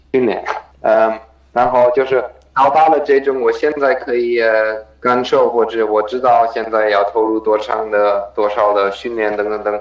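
A man with a German accent speaks at a fairly slow pace, his medium-pitched voice keeping a fairly even intonation. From Germany. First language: German (speaking Chinese). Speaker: professional triathlete. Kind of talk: interview. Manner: halting, many fillers.

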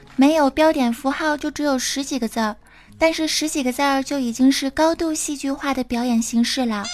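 Noticeable background noise behind a woman talking. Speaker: podcast host. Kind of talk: comedic chat show.

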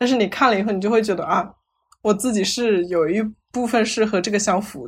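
A woman's unremarkable speaking voice at medium pitch, fairly quick in pace, with ordinary pitch variation. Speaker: psychology researcher. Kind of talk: casual chat.

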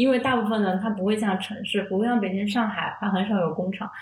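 A woman at medium pitch speaks at a very fast pace with fairly even intonation. Noticeable background noise and audible room echo fill the recording. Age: 20s. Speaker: freelance writer. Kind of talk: casual chat.

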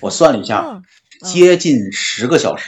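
Here is a plain, everyday voice from a man. He keeps a moderate pace with lively intonation. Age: 40s. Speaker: podcast co-host. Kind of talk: casual chat.

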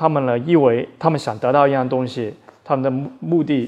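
A man talks at a moderate pace with a dark, mellow tone. His intonation stays fairly even. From Australia, emigrated as a child; also trained in Taiwan. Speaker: Brazilian jiu-jitsu coach. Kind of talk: interview conversation.

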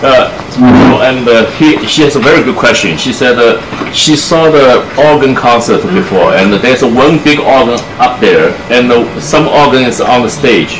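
Speech at a moderate pace, with ordinary pitch variation and very even loudness, comes through noticeable background noise and audible room echo. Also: man, medium pitch for a man. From Shanghai, China. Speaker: double bassist and music professor. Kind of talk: public talk with audience Q&A. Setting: room with live audience. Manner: hesitant, many fillers and code-switching to English. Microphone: speaking without a microphone.

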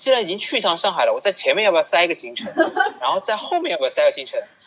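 The speech comes at a very fast pace. Background noise is noticeable. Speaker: co-host, counselor. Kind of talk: casual interview chat.

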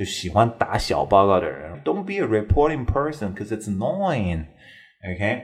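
A man speaks at a moderate pace in a fairly low, somewhat breathy voice. His pitch swings very widely. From China. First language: Mandarin Chinese. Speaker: English teacher podcaster. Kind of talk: bilingual English lesson talk show. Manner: casual, mixes Chinese and English.

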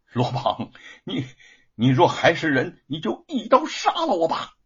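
Putting on a character voice, a man speaks fairly slowly at a fairly high pitch with a husky, rough edge and very wide pitch swings.

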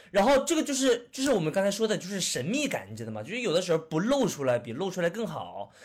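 Speaking at a very fast pace, a man leaves hardly any pauses. His high voice swings very widely in pitch. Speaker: returning podcast guest, film commentator. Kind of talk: casual chat. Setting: remote online recording.

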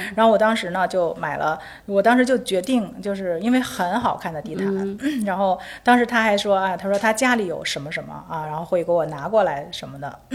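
A woman talks at a fairly quick pace with a medium pitch and ordinary pitch variation. Her loudness swings widely. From Beijing. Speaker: architect and interior designer. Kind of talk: casual interview chat. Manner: halting, repeats words.

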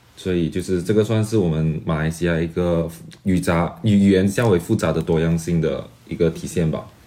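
Dark and mellow in tone, a man's very deep, low voice holds a fairly even intonation. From Malaysia. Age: 20s. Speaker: graduate student and entrepreneur. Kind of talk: interview.

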